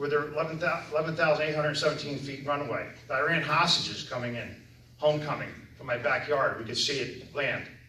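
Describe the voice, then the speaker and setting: A man's fairly high-pitched voice in monotone, flat intonation at a fairly quick pace, with noticeable background noise and audible room echo. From US Northeast, Orange County, New York. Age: 50s. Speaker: town supervisor, election candidate. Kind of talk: candidate speech at public forum.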